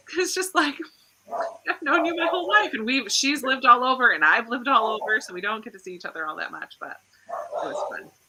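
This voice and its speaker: A woman speaks in a raised, projected voice, high-pitched and very fast. Her pitch swings very widely and her loudness swings a lot. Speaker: book channel host. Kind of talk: casual chat.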